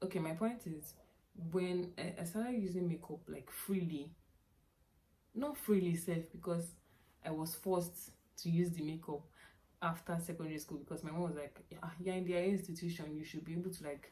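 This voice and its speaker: A woman talks at a moderate pace in a fairly low, somewhat breathy voice with a dark, mellow tone. Her intonation is fairly even, broken by long, frequent pauses. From Nigeria (Yoruba). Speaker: youtuber. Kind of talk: casual vlog chat. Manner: repetitive, self-correcting.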